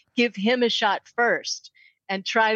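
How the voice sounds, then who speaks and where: A woman talks at a moderate pace with an American accent. Her pitch sits fairly high. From US Midwest, St. Louis. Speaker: matchmaker and dating coach. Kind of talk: casual interview. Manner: animated.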